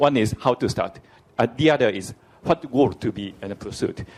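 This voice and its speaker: A man speaks at a moderate pace with a medium pitch. His intonation is lively. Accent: Japanese. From Japan. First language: Japanese. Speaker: diplomat asking question from audience. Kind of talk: audience question at conference. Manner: halting, many fillers.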